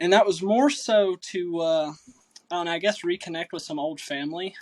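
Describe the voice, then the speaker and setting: Ordinary pitch variation and a moderate pace mark this voice, heard with a slight Southern US accent. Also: man, high pitch for a man. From Kentucky, US South (Corbin, Louisville). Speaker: computer specialist, army veteran. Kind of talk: casual chat. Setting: podcast.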